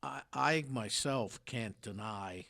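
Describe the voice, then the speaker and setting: This man has a fairly low pitch, lively intonation, and a bright, sharp tone. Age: 60s. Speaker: radio host. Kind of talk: casual chat. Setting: studio.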